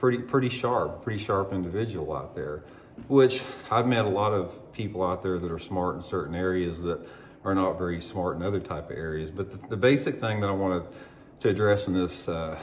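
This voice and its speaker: With audible room echo, a man speaks at a very deep, low pitch with ordinary pitch variation. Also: fairly quick pace. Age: 60s. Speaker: former pro bass angler and fishing YouTuber. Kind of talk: opinion monologue to camera. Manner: halting, with many fillers and restarts.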